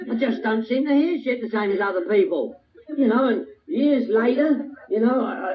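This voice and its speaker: A man with a London accent talks at a fairly quick pace. His pitch swings very widely over noticeable background noise. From England, northwest London. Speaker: recovery speaker. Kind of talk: recovery talk to a meeting audience. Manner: animated.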